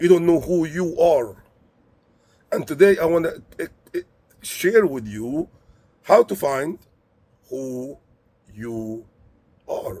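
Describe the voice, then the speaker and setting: A man's fairly high, dark, mellow voice at a very slow pace, with lively intonation, big swings in loudness and long, frequent pauses. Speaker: motivational speaker. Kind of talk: motivational monologue. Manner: halting.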